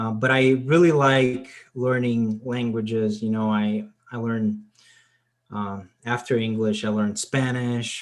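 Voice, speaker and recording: Speaking at a fairly slow pace, a man with a Portuguese accent uses a medium pitch and fairly even intonation. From Portugal. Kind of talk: casual chat. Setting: video call.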